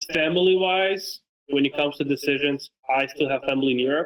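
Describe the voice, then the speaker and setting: A man in a Romanian accent speaks with ordinary pitch variation. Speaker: football content creator and coach. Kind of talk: casual interview chat.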